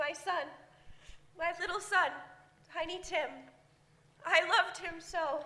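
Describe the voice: A woman puts on a character voice with an extremely high pitch, a bright, sharp tone, fairly even intonation and a slow pace.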